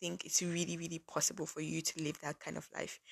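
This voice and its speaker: With a fairly quick pace and an animated tone, a woman with a fairly low pitch and vocal fry speaks in a dry, close sound with no echo. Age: 20s. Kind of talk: casual devotional monologue.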